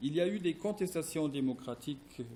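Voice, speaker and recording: A man's voice has a dark, mellow tone and is somewhat breathy. He speaks at a moderate pace with lively intonation. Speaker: philosophy professor. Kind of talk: academic presentation read from text. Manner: halting, many hesitations; somewhat quiet.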